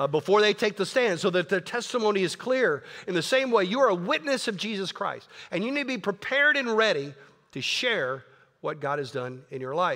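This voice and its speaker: A man speaks at a fairly quick pace in a raised, projected voice, high-pitched with very wide pitch swings and an animated, bright, sharp tone. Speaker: pastor. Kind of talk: sermon.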